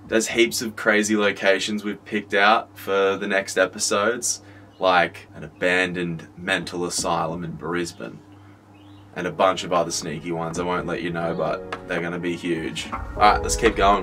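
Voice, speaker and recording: A man with a very deep, low pitch and ordinary pitch variation talks at a moderate pace, with light background noise. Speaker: music producer vlogger. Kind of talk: casual vlog chat. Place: studio. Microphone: phone near.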